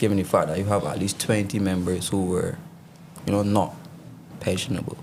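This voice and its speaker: Over noticeable background noise and audible room echo, a man speaks at a fairly quick pace in a fairly low pitch with ordinary pitch variation. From Barbados. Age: 30s. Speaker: politician. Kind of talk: interview.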